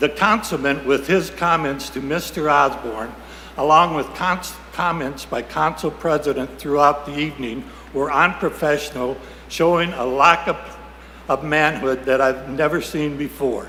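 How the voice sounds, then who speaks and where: A fairly high-pitched man, with ordinary pitch variation, talks at a moderate pace while noticeable background noise and audible room echo fill the recording. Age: 80s+. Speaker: citizen speaking at public comment, army veteran. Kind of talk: public comment at city council meeting. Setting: city council chamber.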